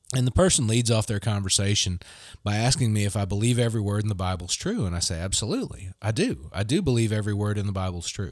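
A man with a Southern US accent talks very fast at a fairly low pitch on a very clean recording with a silent background. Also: ordinary pitch variation. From US South, Mississippi Gulf Coast. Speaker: Episcopal clergy. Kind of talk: casual chat.

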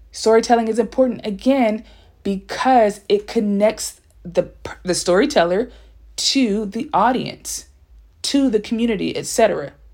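A woman's plain, everyday voice with an American accent, fairly high in pitch, at a moderate pace with ordinary pitch variation, on a very clean recording with a silent background. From Los Angeles (Compton), California. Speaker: author and writing podcast host. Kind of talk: solo podcast monologue. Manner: casual, conversational.

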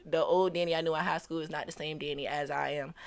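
An ordinary speaking voice from a woman with an American accent, fairly low in pitch and fairly quick in pace, on a very clean recording with a silent background. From Virginia (Portsmouth, Hampton Roads). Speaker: rapper. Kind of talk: casual interview.

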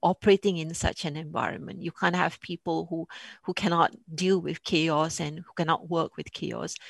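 A woman speaks with vocal fry at a fairly low pitch and fairly even intonation. The sound is dry and close with no echo, over a quiet background. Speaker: retired police commander, CEO. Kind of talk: panel discussion. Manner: hesitant, repeats words.

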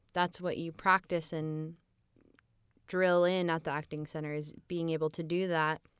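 A woman talks at a fairly slow pace with a fairly low pitch and a plain, everyday voice. The recording is very clean, with a silent background. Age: 20s. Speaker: audiobook narrator and actress. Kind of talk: casual interview chat. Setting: studio.

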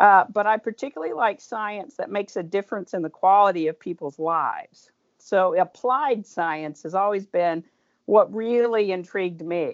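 With an American accent, a woman speaks in a normal speaking voice at a moderate pace, with medium pitch and ordinary pitch variation. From Oklahoma, Tulsa. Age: 50s. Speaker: pharmacist. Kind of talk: interview.

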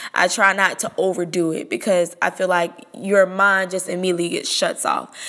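A woman talks at a moderate pace in a medium pitch. It is an ordinary speaking voice. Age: 20s. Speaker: podcast host and call center salesperson. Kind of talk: solo podcast monologue.

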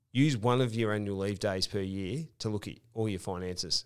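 A man with an Australian accent speaks at a fairly low pitch in a very clean recording with a silent background. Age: 40s. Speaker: podcast host. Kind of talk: casual chat.

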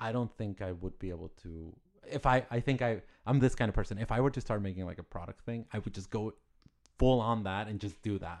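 Speaking in a Spanish accent, a man uses a fairly low pitch with ordinary pitch variation. His pace is fairly quick. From Mexico, Ciudad Juarez. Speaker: artist. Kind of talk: interview.

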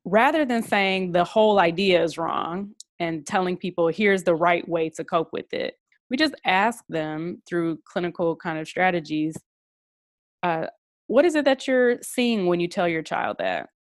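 A woman speaks in a plain, everyday voice at a medium pitch and fairly slow pace, with lively intonation and a dry, close sound with no echo. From Detroit, US Midwest. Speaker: psychologist and professor. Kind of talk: interview.

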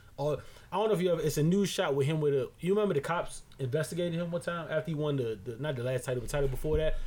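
A very fast man's voice, fairly high in pitch, with ordinary pitch variation and noticeable background noise. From Barbados. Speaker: podcast co-host. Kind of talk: casual chat.

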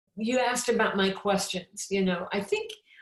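A woman with a Midwestern American accent speaks in a somewhat breathy voice. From US Midwest, Champaign, Illinois. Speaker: author and evangelist. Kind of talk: interview.

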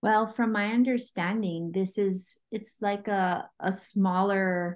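In a Hawaiian accent, a woman speaks at a very slow pace with a medium pitch and fairly even intonation. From Hawaii, Oahu. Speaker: Hawaiian language teacher. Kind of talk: interview.

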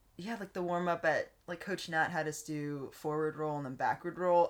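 A woman with a Texan accent speaks at a moderate pace. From Texas. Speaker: guest. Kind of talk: casual chat.

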